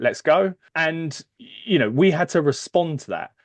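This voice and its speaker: A man with a British accent, in dry, close sound with no echo. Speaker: HR services executive. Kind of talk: podcast interview. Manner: hesitant, many fillers.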